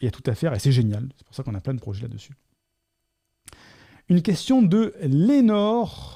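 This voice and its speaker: Somewhat breathy, a man speaks at a fairly high pitch with very wide pitch swings and big swings in loudness. He leaves long, frequent pauses. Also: moderate pace. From southern France, Côte d'Azur. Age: 40s. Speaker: coach. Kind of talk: Q&A monologue. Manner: halting.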